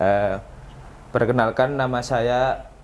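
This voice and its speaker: This man talks fairly slowly, his medium pitch held to a fairly even intonation. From East Java, Mojokerto. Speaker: Islamic college student. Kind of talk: casual chat.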